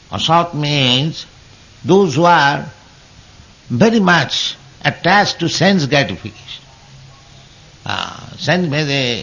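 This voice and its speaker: A man speaking at a very slow pace over music in the background. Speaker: spiritual teacher. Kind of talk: scripture lecture. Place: hall. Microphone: old recording.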